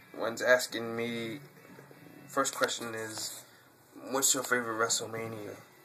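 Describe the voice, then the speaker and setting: A man with a New York accent, medium pitch, and monotone, flat intonation over noticeable background noise. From New York City, Brooklyn. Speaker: YouTuber, wrestling fan. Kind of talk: Q&A video monologue. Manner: halting, many fillers.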